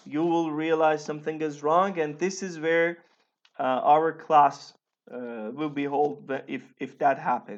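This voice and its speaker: A man with a fairly high pitch and ordinary pitch variation talks fairly slowly. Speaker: university lecturer. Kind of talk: online lecture. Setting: video call. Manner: hesitant, with many fillers and repetitions.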